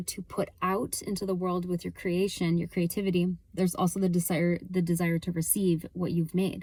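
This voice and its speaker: A woman speaks at a medium pitch and a fairly quick pace. Her voice is somewhat breathy. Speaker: motivational coach. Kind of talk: motivational talk to camera. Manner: fast; animated.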